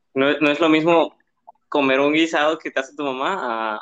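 This man has an unremarkable speaking voice. He talks at a fairly quick pace with fairly even intonation. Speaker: podcast co-host. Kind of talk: casual chat.

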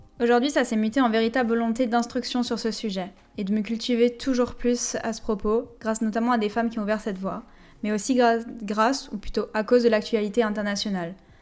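At a fairly quick pace, a woman with a fairly high pitch speaks in a flat, monotone way. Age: 20s. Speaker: physiotherapist and public health student, podcast host. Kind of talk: scripted solo podcast monologue.

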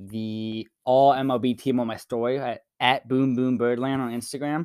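This is a man with a plain, everyday voice, medium in pitch and fairly even in intonation. The sound is dry and close with no echo, on a very clean recording with a silent background. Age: young. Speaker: podcast host. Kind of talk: interview.

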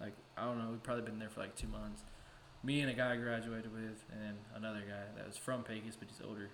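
A man with an American accent talks at a very fast pace, medium in pitch and monotone with flat intonation. Noticeable background noise and audible room echo fill the recording. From West Texas. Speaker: podcast co-host. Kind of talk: casual chat.

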